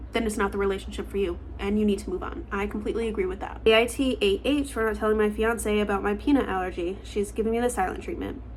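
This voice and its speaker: Speaking at a very fast pace with hardly any pauses, a woman talks in a room with audible echo. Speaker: online storyteller reacting to posts. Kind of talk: casual commentary. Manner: halting, stuttering; conversational with fillers.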